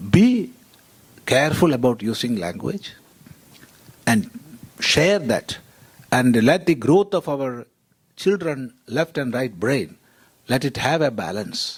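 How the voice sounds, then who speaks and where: Speech comes at a very slow pace in a Keralan accent, with long, frequent pauses. The pitch swings very widely. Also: man, medium pitch for a man. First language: Malayalam. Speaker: panelist, monastic scholar. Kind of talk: panel discussion.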